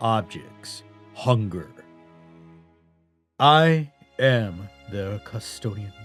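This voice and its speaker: A man's dramatic delivery with very wide pitch swings and long, frequent pauses, music playing in the background. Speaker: voice actor. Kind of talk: audiobook narration. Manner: slow, dramatic.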